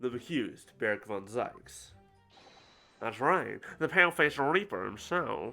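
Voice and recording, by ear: A put-on character voice delivers a dramatic, theatrical tone at low-to-middle pitch. The pace is moderate, with faint music in the background.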